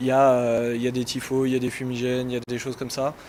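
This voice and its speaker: With noticeable background noise, a man speaks at a fairly quick pace and a medium pitch. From Yvelines, Paris region. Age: 30s. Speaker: football supporter, political activist. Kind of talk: interview. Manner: casual, hesitant with fillers.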